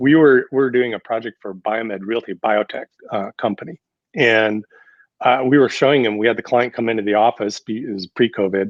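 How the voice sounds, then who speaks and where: With an American accent, a man talks in an unremarkable speaking voice at medium pitch. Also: fairly even intonation, fairly quick pace. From US Upper Midwest (North Dakota/Minnesota). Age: 60s. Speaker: architect, design firm president. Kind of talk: podcast interview. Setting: podcast studio.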